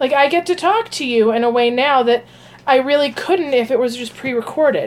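A woman is the speaker. She talks at a high pitch. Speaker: psychic and meditation channel host. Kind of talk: casual live stream cooking talk. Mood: relaxed, friendly.

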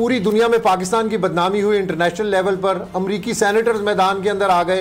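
A man at a fairly quick pace and high pitch, with fairly even intonation and faint background noise.

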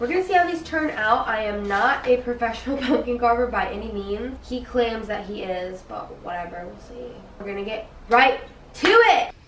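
With audible room echo and light background noise, a woman talks at a moderate pace, her loudness swinging widely. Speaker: vlogger. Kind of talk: casual vlog chat. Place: kitchen. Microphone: camera far.

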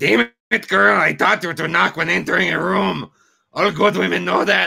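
Putting on a character voice, a man speaks raspily at a fairly high pitch. His pitch swings very widely, and his pace is moderate. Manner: scolding, gruff.

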